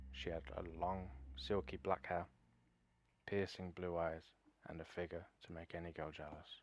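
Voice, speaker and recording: Speaking with a British accent, a man uses a very deep, low pitch, vocal fry, fairly even intonation and a moderate pace with long, frequent pauses. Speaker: story narrator. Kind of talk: horror story narration.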